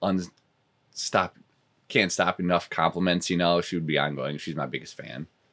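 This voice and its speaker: In an American accent, a man with a very deep, low pitch, vocal fry and a bright, sharp tone talks at a moderate pace with fairly even intonation and long, frequent pauses. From rural US. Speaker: fitness club salesman, recovering addict. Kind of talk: interview testimony.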